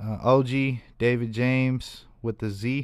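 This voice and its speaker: Recorded very cleanly against a silent background, a man with an American accent and medium pitch speaks in a monotone, flat way. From Reno, Nevada. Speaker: rapper. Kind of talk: casual chat. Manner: casual, laughing.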